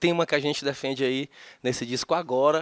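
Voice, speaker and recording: In a strong Fortaleza accent, a man talks at a fairly quick pace with a fairly high pitch. The recording is very clean, with a silent background. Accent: thick Fortaleza (Ceará). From Fortaleza, northeastern Brazil. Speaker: singer-songwriter. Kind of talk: interview. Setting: studio.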